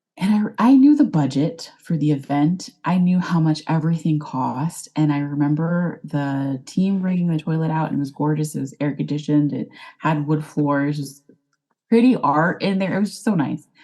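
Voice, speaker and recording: A woman in a Texan accent, her pitch very deep and low, with ordinary pitch variation at a moderate pace. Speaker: life coach, former wedding planner. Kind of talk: podcast interview.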